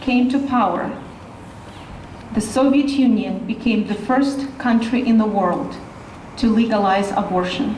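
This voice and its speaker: The speech moves at a fairly slow pace. There is noticeable background noise and audible room echo. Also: woman. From Russia (Siberia). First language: Russian. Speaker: rally speaker.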